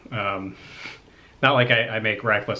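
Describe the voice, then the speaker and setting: There is audible room echo around a man whose tone is bright and sharp. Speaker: thrift reseller YouTuber. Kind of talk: casual vlog talk. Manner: casual, halting with fillers.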